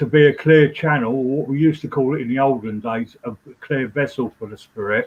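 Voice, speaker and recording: A man talks at a fairly quick pace in an ordinary speaking voice. His pitch sits at a medium level. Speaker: trance medium. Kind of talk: interview.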